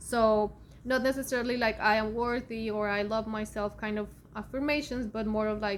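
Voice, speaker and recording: A woman with a Spanish accent speaks at a moderate pace, her fairly high voice monotone and flat. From Colombia (Bogota). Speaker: spiritual content creator, Akashic Records reader. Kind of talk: casual vlog talk. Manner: halting, many fillers.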